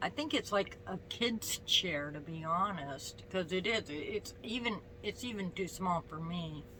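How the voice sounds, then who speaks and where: With noticeable background noise, a woman speaks at a fairly slow pace in a lively intonation, with hardly any pauses. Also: medium pitch for a woman. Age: 60s. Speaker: vlogger. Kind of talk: casual vlog chat. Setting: at home, on the bed. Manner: halting, with many fillers.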